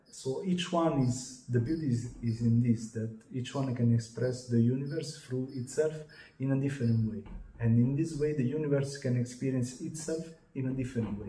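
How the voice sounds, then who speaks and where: With an Italian accent, a man speaks at a moderate pace and medium pitch, his pitch varying in an ordinary way, while audible room echo surrounds him. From Italy. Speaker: channeler and contactee. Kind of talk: interview. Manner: halting.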